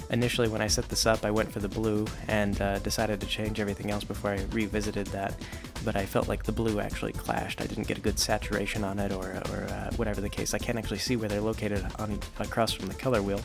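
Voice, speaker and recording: A quiet man with monotone, flat intonation, music playing in the background. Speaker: web comic creator and video game talker. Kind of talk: quiet ASMR-style stream of consciousness talk to camera. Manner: quiet, close-mic, rambling, casual.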